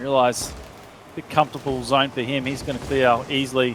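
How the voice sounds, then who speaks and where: With an Australian accent, a man talks fairly quickly in a monotone, flat intonation over noticeable background noise. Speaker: esports caster. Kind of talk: live commentary. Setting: live stream. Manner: fast.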